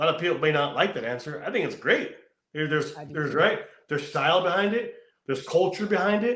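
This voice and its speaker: Audible room echo surrounds a man who talks with lively intonation in an American accent. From California. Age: 40s. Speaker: motorcycle show host and biker. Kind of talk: casual interview.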